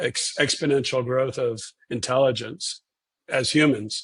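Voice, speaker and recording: This is a somewhat breathy man with a fairly high pitch. His intonation is fairly even. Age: 60s. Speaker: neurosurgeon. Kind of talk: interview. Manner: halting, many repeated words.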